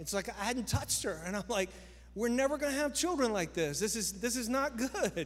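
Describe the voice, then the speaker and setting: A man's high-pitched, animated voice at a fairly quick pace, with lively intonation. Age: 50s. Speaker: pastor. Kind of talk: sermon. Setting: church.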